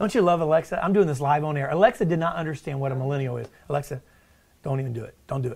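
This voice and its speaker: A man's very fast, animated, somewhat breathy voice, with ordinary pitch variation and big swings in loudness, on a very clean recording with a silent background. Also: fairly high pitch for a man. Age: 40s. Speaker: podcast host and company CEO. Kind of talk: casual chat. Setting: office. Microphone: backup system with echo and delay.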